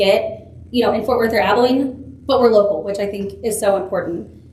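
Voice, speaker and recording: Amid noticeable background noise and audible room echo, a woman speaks very fast at a fairly high pitch with fairly even intonation. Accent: American. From Texas. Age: 20s. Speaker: political candidate. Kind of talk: campaign speech. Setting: public forum with audience.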